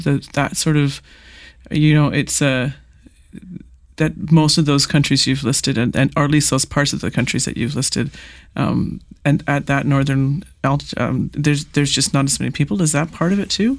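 A woman with a Canadian accent, a very deep, low pitch, fairly even intonation and a moderate pace. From Canada, small-town Manitoba. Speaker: podcast host, arts presenter. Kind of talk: interview. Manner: halting, many fillers.

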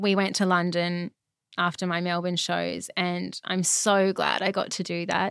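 A woman's medium-pitched voice in an Australian accent, very slow and fairly even in intonation, on a very clean recording with a silent background and a dry, close sound with no echo. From Brisbane, Australia. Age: 30s. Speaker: retired ballet dancer. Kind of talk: interview conversation.

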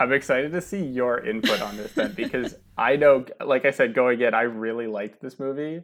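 A man with a plain, everyday voice speaks at a fairly quick pace with ordinary pitch variation against a quiet background. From New Jersey. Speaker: podcast guest, movie fan. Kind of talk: casual chat.

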